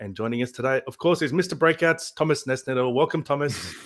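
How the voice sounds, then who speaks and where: A man talks at a very fast pace. His pitch is fairly high, with ordinary pitch variation. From Australia. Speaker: podcast host. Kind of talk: casual chat.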